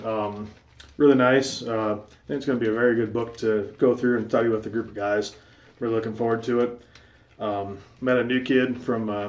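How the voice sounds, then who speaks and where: Monotone, flat intonation at a moderate pace from a man with a medium pitch. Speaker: shaving video vlogger. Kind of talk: casual vlog monologue.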